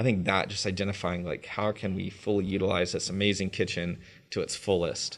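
A man with an American accent speaks at a fairly quick pace in a fairly low pitch. His intonation stays monotone and flat against a quiet background. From North Carolina, Raleigh-Durham area. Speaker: chef. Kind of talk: interview.

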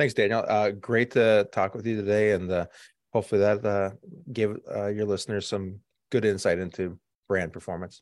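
A man has an ordinary speaking voice, fairly low in pitch with fairly even intonation. He talks at a moderate pace over a quiet background. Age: 50s. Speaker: agency CEO. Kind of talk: interview.

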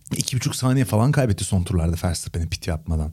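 A man talks at a very fast pace with lively intonation, captured in a very clean recording against a silent background. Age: 30s. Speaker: Formula 1 podcast co-host and commentator. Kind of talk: casual chat.

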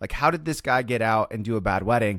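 With an American accent, a man speaks at a very fast pace with ordinary pitch variation on a very clean recording with a silent background. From US Midwest, Kansas City. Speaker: DJ company owner. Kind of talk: casual chat.

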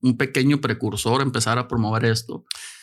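A man talks at a very fast pace. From Mexico. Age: 50s. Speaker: cancer survivor and health advocate. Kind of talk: casual chat. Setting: studio.

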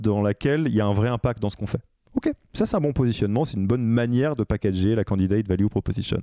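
A man at a very fast pace, medium in pitch with ordinary pitch variation and a dark, mellow tone, in a dry, close sound with no echo against a quiet background. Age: 30s. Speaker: podcast host and leadership coach. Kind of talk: casual interview chat. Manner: hesitant, many filler words.

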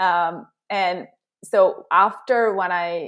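In an American accent, a woman speaks at a medium pitch with ordinary pitch variation. Hers is an unremarkable speaking voice. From Southern California, with childhood in Korea. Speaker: career and executive coach. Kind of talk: interview conversation.

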